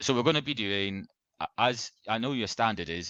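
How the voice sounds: Ordinary pitch variation marks this natural reading voice. The background is quiet.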